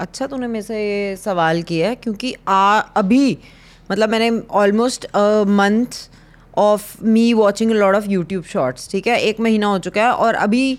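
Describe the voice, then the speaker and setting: The speaker is a woman at medium pitch with ordinary pitch variation. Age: 40s. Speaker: podcast co-host. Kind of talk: casual chat. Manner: loud.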